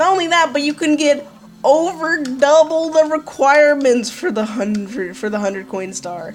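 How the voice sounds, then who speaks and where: The speech moves at a fairly slow pace with lively intonation while music plays in the background. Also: woman. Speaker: gaming youtuber. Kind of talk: let's play commentary. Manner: animated.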